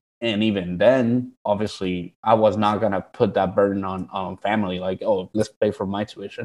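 Fairly even intonation at a moderate pace in a Spanish accent, against a quiet background. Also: man. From Guatemala. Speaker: PhD student. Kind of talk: casual interview.

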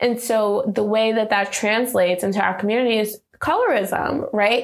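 Over noticeable background noise, a woman with an American accent talks at a fairly slow pace. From New York City (South Bronx). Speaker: entrepreneur. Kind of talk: personal testimony interview.

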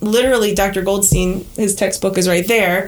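A woman speaks at a moderate pace with a normal speaking voice. Her pitch is medium and her intonation fairly even. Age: 40s. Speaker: dental professor and prosthodontist. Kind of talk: interview.

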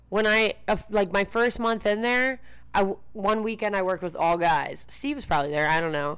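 In an American accent, a woman with a medium-pitched, ordinary speaking voice talks at a moderate pace with lively intonation. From Baltimore area, Maryland. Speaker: bartender. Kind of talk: casual chat.

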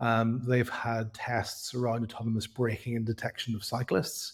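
A man speaks in a somewhat breathy voice. The recording is very clean, with a silent background. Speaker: cycling tech company co-founder. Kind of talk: casual interview chat.

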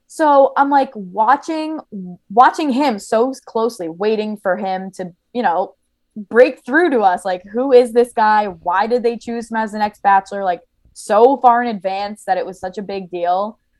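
A woman with a New Jersey accent speaks at a fairly slow pace in a fairly high voice, her pitch varying in an ordinary way. Her loudness swings widely, and the recording is very clean with a silent background. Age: 20s. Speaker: podcaster.

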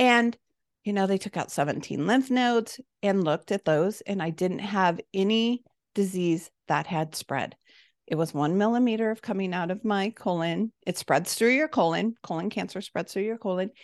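Recorded with a dry, close sound with no echo against a quiet background, a woman with an American accent has an ordinary speaking voice, a medium pitch, ordinary pitch variation and a moderate pace. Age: 50s. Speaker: nutrition health coach and cancer survivor. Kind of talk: interview.

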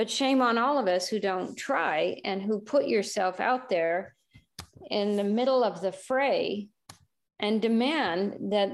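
Against a quiet background, a woman with an American accent speaks very slowly with ordinary pitch variation. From California, US. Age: 70s. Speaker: conservationist. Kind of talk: interview, conversational. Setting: remote call.

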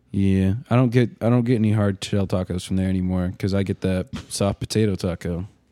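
A man with an American accent and a fairly low pitch talks at a fairly quick pace with fairly even intonation, in dry, close sound with no echo and music in the background. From Arkansas. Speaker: podcast host. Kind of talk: casual chat.

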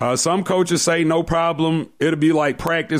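Using a normal speaking voice, a man with an American accent talks at a moderate pace and a fairly high pitch. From US South, Decatur, Georgia. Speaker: sports radio host. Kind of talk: casual sports talk show.

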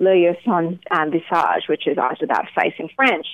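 A woman's fairly low voice with an Australian accent. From Melbourne, Australia. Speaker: singer-songwriter. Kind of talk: radio interview, casual chat.

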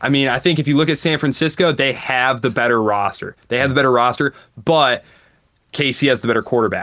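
A man's plain, everyday voice at medium pitch, fairly quick pace, very even loudness and fairly even intonation. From Michigan. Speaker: economist and history professor. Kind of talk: interview. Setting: remote call.

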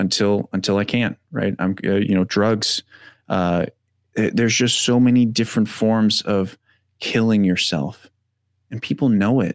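An unremarkable speaking voice, a man's with fairly low pitch, moves at a fairly slow pace with fairly even intonation, dry and close with no echo on a very clean recording with a silent background. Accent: American. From Wisconsin, US Midwest. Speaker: mental health coach and combat veteran. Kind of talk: interview conversation.

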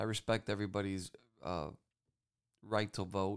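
The recording is very clean, and the background is silent. In it, a man talks in an animated tone. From Cuban-American family. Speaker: political podcast host. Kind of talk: political commentary monologue.

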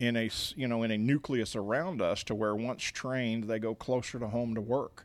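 With an American accent and a normal speaking voice, a man at a medium pitch talks at a moderate pace with fairly even intonation and hardly any pauses, in a very clean recording with a silent background. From Missouri, Kansas City area. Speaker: nonprofit bakery founder. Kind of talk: interview. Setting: at the bakery.

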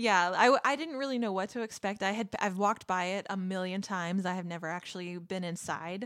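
A woman with an American accent in an unremarkable speaking voice, medium pitch and ordinary pitch variation, fairly quick with hardly any pauses. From Texas. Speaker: podcast co-host. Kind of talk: casual chat.

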